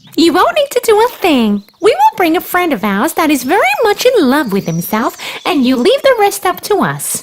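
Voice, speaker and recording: A put-on character voice, female-sounding, at extremely high pitch, with very wide pitch swings and hardly any pauses. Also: moderate pace. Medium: read story.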